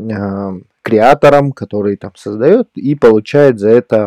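Very slowly and with fairly even intonation, a man speaks in a dark, mellow tone at a fairly low pitch, the sound dry and close with no echo. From Yakutia, Russia. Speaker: podcast host. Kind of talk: casual chat.

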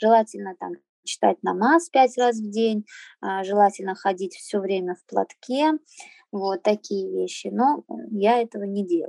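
Fairly slow and broken by long, frequent pauses, a woman's speech swings widely in loudness, with a dry, close sound and no echo. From Azerbaijan, raised in Russia. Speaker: henna artist living abroad. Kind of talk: interview. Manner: hesitant, many fillers.

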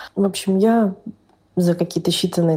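The voice has a dark, mellow tone, is somewhat breathy, and holds fairly even intonation. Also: woman. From northern Russia. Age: 30s. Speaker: podcast listener sharing a personal story. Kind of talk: personal testimony.

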